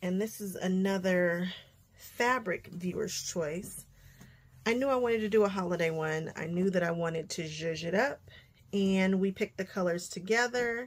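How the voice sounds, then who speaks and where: Her pitch varies in an ordinary way as she talks at a moderate pace. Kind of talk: tutorial. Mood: upbeat, eager.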